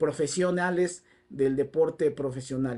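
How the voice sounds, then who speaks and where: The voice has a dark, mellow tone and ordinary pitch variation, moving at a fairly slow pace over a quiet background. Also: man. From Mexico. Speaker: football commentator. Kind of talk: solo video commentary. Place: home room. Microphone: lapel.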